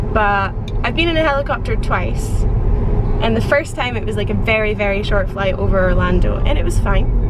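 A woman speaks at a fairly quick pace. Loud background noise runs underneath her. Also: dry sound with no echo. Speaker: travel vlogger. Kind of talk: casual vlog chat. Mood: cheerful, chatty. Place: car.

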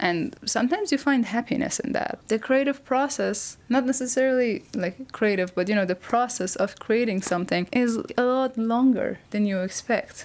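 A woman speaks at a moderate pace with hardly any pauses and a non-native accent. Her pitch is high, with ordinary variation. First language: not English. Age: 20s. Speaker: YouTuber. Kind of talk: video essay monologue. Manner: casual, self-deprecating. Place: home room. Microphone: lapel.

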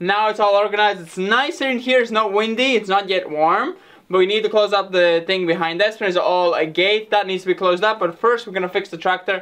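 Hardly pausing, a man speaks with a high pitch and ordinary pitch variation. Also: fairly quick pace. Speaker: farm renovation vlogger. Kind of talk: casual vlog chat. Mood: relaxed, pleased. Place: workshop. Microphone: camera far.

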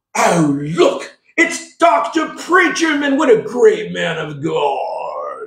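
In a put-on character voice, a man talks at a very slow pace with an extremely high pitch and a slight echo.

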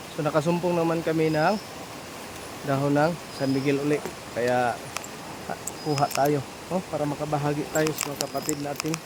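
The speech halts often with long pauses, and background noise is clearly audible. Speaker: folk amulet and herbal vlogger. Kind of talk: outdoor vlog demonstration. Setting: outdoors in the forest.

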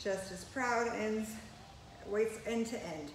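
Against light background noise and audible room echo, a woman speaks with ordinary pitch variation. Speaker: fitness instructor. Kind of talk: workout instruction. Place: gym. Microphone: camera far.

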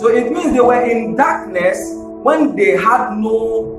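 A man at a fairly slow pace, with audible room echo and clear music in the background. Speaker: minister. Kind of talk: sermon. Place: church.

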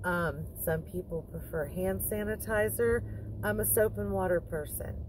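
A woman talks at a fairly slow pace. The sound is dry with no echo, over noticeable background noise. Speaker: van life vlogger. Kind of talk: casual tutorial vlog chat. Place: car. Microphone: phone near.

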